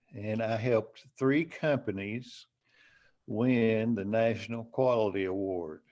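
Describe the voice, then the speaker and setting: A man speaks at a very slow pace. His pitch is medium and varies in an ordinary way. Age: 70s. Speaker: author. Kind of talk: interview.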